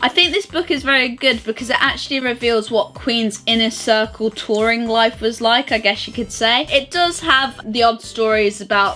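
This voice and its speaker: Through noticeable background noise, a woman speaks at a moderate pace in a fairly high pitch. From United Kingdom. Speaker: vlogger. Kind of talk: book review.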